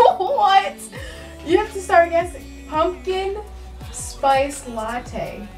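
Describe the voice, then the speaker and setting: A woman at a very slow pace over faint background music. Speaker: vlogger host. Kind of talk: casual talk to camera. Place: home room. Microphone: phone near.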